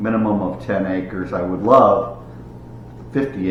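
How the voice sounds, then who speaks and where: Amid noticeable background noise and audible room echo, a man with a fairly low pitch talks at a moderate pace with lively intonation. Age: 60s. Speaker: YouTuber, hobby gardener and fisherman. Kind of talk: casual vlog monologue. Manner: halting, with fillers and restarts.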